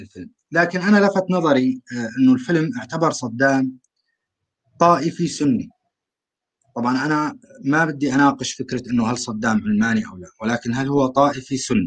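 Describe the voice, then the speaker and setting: In a plain, everyday voice, a man talks at a moderate pace with a fairly high pitch, lively intonation and big swings in loudness. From Syria, rural Aleppo. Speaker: call-in participant. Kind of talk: online panel discussion.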